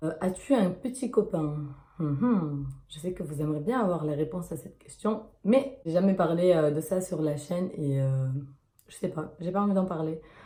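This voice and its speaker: A woman speaks at a fairly low pitch in a dark, mellow, somewhat breathy tone. Her pace is moderate, her intonation lively and her loudness swings widely. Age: 20s. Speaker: YouTuber. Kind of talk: casual Q&A vlog. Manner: hesitant, many fillers.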